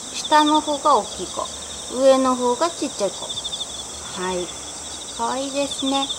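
Over noticeable background noise, a woman talks in a high pitch with lively intonation. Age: 40s. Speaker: housewife. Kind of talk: casual talk to camera. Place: garden. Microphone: phone near.

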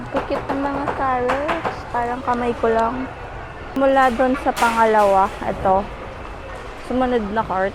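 A woman's high-pitched voice at a fairly slow pace, with audible room echo and noticeable background noise. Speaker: lifestyle vlogger. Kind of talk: casual vlog narration. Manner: animated.

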